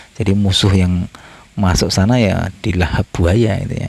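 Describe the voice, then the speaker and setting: Noticeable background noise behind a man's fairly low-pitched voice, ordinary in pitch variation and moderate in pace. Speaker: travel and history vlogger. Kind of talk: walking vlog narration. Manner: halting, many fillers.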